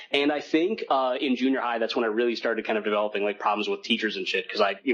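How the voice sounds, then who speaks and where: A man speaks over noticeable background noise. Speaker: podcast co-host. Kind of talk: casual chat. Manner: fast, trips over words.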